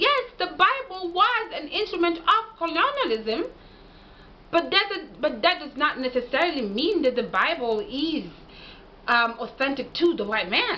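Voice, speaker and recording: A woman with a Kenyan accent speaks at a fairly slow pace in a raised, projected voice, her extremely high pitch swinging very widely in an animated tone, with audible room echo around her. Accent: Kenyan (Gusii) English. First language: Ekegusii. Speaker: language and history commentator. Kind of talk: lecture-style monologue. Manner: animated, argumentative.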